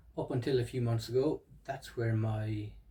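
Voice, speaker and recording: A man's somewhat breathy voice sits at a medium pitch, and his intonation stays fairly even. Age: 30s. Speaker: psychotherapy student and stutter educator. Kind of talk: educational monologue. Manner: hesitant, with fillers.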